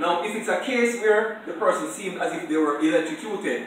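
Speech moves at a fairly quick pace with strong room echo. Noticeable background noise can be heard as well. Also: man. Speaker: first aid instructor. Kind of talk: classroom lecture. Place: classroom. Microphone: camera far.

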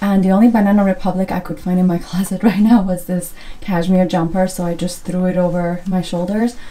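At a moderate pace, a woman is talking. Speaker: lifestyle vlogger. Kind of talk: casual vlog chat. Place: home room. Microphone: phone near.

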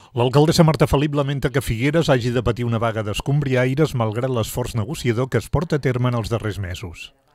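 A man rattles along at a very fast pace in a medium pitch, with ordinary pitch variation. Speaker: news narrator. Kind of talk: news reading. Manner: formal.

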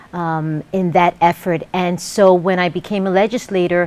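This woman has an ordinary speaking voice with a fairly low pitch. Her intonation is fairly even. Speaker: guest. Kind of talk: interview answer. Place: studio. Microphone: lapel.

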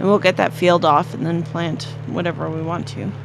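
The speech moves at a moderate pace. Noticeable noise sits in the background. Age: 30s. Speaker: gaming video co-host. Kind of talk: casual gameplay chat.

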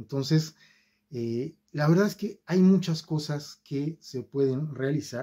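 Against a quiet background, a man with a fairly high pitch and a dark, mellow tone talks at a very slow pace with ordinary pitch variation. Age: 50s. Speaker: YouTuber. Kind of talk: video monologue; casual vlog chat. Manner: hesitant fillers. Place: home room. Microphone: phone near.

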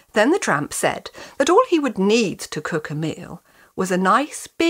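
The text is read out. It's done in a natural reading voice.

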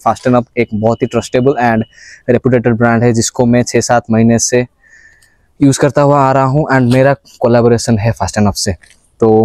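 Against a quiet background, a man speaks at a moderate pace in a monotone, flat intonation, with very even loudness and a dry sound with no echo. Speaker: fitness vlogger. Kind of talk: casual fitness vlog and sponsor promo. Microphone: lapel.

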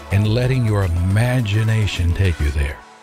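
Delivered at a fairly quick pace in an American accent, the voice sounds dry with no echo, over clear music in the background. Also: man. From United States. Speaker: voice actor. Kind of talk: commercial voice-over read.

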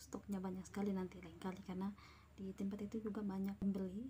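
Light background noise runs under a woman's speech. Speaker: vlogger. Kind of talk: casual vlog chat. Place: home room. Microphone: phone near.

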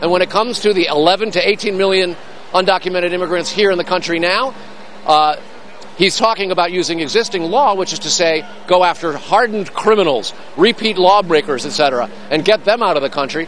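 A man speaks at a fairly quick pace with a high pitch and ordinary pitch variation. The sound is dry with no echo, and there is light background noise. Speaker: TV news correspondent. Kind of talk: news report. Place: hall.

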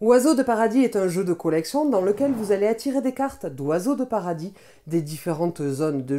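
Over a quiet background, a woman with a medium pitch and a dark, mellow tone speaks with very wide pitch swings. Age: 20s. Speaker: board game reviewer. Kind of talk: scripted narration. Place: home room.

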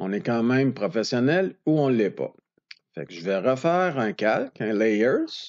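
A man's lively intonation at medium pitch and a fairly slow pace, in a Quebec accent. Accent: Québécois French. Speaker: photographer teaching Photoshop. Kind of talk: tutorial. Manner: casual.

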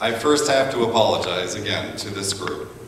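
The clip carries audible room echo along with light background noise. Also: man. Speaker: lay preacher. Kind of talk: sermon. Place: church.

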